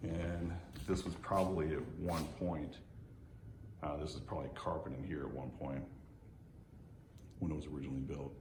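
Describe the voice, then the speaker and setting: Intonation stays fairly even, broken by long, frequent pauses. Audible room echo surrounds the voice. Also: man, very deep, low pitch for a man. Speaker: real estate agent. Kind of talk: home tour walkthrough. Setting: walking through a house. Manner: fast; casual, hesitant fillers.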